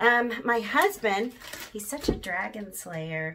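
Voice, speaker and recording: A woman speaking at a fairly slow pace over light background noise. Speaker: home vlogger. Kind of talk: casual vlog chat. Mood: lively, humorous. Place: bathroom. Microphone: phone near.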